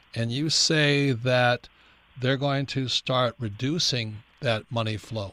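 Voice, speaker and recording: On a very clean recording with a silent background, a man's bright, sharp tone holds a fairly even intonation. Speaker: radio show host. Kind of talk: radio show host talk.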